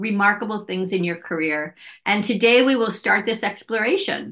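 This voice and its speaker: Speaking in a normal speaking voice with an American accent, a woman talks at a moderate pace and medium pitch with ordinary pitch variation. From US, Philadelphia area, Pennsylvania. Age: 50s. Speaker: podcast producer and interviewer. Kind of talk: interview, asking questions; show intro and outro.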